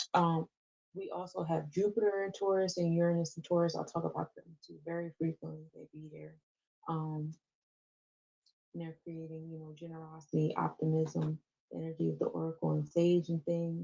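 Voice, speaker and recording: A woman speaks at a fairly low pitch in a dark, mellow, somewhat breathy tone with monotone, flat intonation. Her loudness swings widely, and the sound is dry and close with no echo. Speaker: astrology podcast host. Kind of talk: live-stream astrology forecast. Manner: fast. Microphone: voice echoing.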